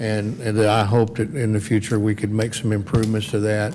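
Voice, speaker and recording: A man speaks with a fairly low pitch and fairly even intonation. Audible room echo surrounds his voice. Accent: Texas. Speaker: city council member. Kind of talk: council meeting discussion.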